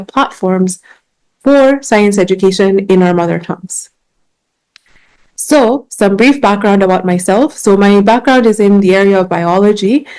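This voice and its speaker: A woman's medium-pitched, dark, mellow voice with a Kenyan accent, at a moderate pace with ordinary pitch variation. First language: Gikuyu. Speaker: science communicator and biologist. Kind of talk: conference talk. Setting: conference stage with audience.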